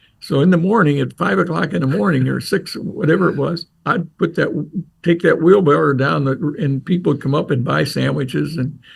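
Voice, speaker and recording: A man speaks at a fairly high pitch with lively intonation. Vocal fry runs through his voice. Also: fairly quick pace. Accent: American. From Ohio, Crestline. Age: 80s. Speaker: retired coach and athletic administrator. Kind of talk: casual interview storytelling.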